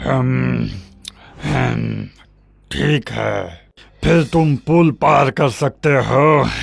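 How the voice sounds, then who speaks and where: In a cartoonish character voice, a man growls in a raspy, very deep, low pitch with a menacing tone, speaking very slowly with long, frequent pauses. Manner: menacing, gloating.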